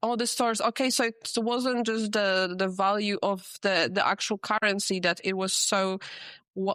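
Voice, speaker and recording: At a moderate pace, a woman with a non-native accent speaks in a medium pitch with fairly even intonation and very even loudness, her sound dry and close with no echo over a quiet background. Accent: foreign accent in English. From Poland. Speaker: podcast host. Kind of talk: casual interview.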